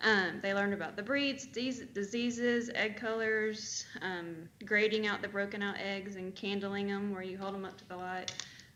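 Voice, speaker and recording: In an American accent, a woman speaks at a medium pitch and moderate pace with hardly any pauses. Her intonation is fairly even, her loudness swings widely, and room echo is audible. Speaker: 4-H extension agent. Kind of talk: report to county board meeting. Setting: county commission meeting.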